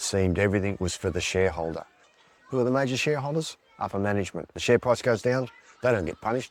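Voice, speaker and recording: With an Australian accent, a man delivers his words at a very fast clip. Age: 60s. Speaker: swing voter, ashram worker. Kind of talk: documentary interview.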